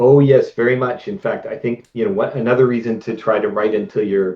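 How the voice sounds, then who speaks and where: A man talks at a medium pitch with ordinary pitch variation. It is an unremarkable speaking voice. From Canada. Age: 50s. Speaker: video game writer and novelist. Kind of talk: interview.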